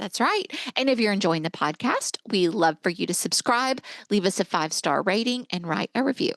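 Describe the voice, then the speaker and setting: Here is a woman with an unremarkable speaking voice, medium pitch and lively intonation at a moderate pace. The sound is dry and close with no echo, and the background is quiet. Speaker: podcast co-host. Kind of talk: casual podcast conversation.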